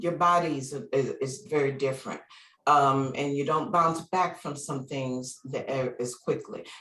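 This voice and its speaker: A woman talks at a fairly slow pace, her pitch rising and falling an ordinary amount. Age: 60s. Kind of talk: interview answer. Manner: casual, conversational.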